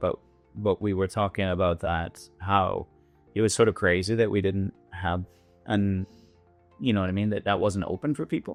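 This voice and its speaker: Speaking with a Western Canadian accent over background music, a man with a fairly low voice keeps a moderate pace broken by long, frequent pauses. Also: fairly even intonation. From Canada, British Columbia. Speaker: winery owner and winemaker. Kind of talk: podcast interview answer. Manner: casual, hesitant.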